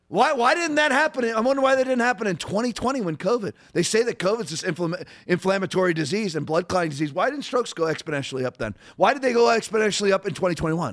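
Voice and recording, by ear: A man speaks fast with few pauses, his pitch high and his intonation lively. The recording is very clean with a silent background.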